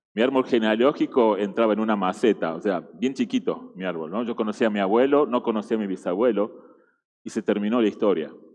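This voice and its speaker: A man with an Argentine accent at a fairly quick pace. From Argentina. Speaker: guest preacher. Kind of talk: sermon. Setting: church. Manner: halting, with fillers and repetitions.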